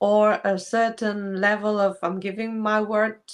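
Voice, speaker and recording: Against a quiet background, a woman speaks very slowly at a medium pitch. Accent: non-native. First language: not English. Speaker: podcast co-host. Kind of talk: casual chat.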